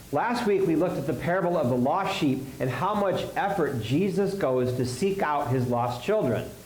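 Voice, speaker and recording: A man talks at a moderate pace in a fairly high pitch, with lively intonation, hardly any pauses and very even loudness. Noticeable background noise and audible room echo surround him. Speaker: pastor. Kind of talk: sermon.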